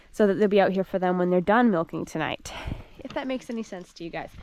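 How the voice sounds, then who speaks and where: An American accent with lively intonation. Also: woman. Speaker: dairy farm worker and vlogger. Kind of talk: casual vlog narration. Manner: fast.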